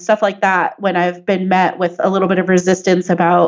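A woman at a medium pitch, with monotone, flat intonation and a moderate pace. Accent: American. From US West Coast (San Diego, California). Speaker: software engineer and activist. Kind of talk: interview conversation.

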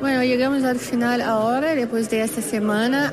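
In a room with audible echo and noticeable background noise, a woman speaks with monotone, flat intonation. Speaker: human rights lawyer. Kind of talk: interview statement.

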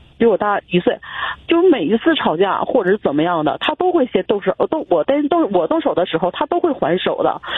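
A woman talking at a fairly quick pace. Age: 30s. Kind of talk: call-in personal problem story. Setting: phone call. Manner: halting.

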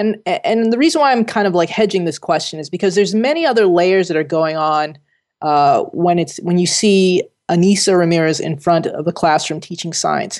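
A woman with an American accent talks at a moderate pace, using an ordinary speaking voice with fairly low pitch and ordinary pitch variation. The background is quiet. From US Northeast, Jersey City, New Jersey. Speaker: scientist and professor. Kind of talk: interview.

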